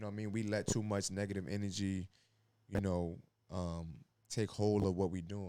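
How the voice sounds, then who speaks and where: A fairly low-pitched man with a dark, mellow tone, a moderate pace and fairly even intonation. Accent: New York. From New York, Brooklyn. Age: 30s. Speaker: former college basketball player and school staff. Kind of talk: podcast interview.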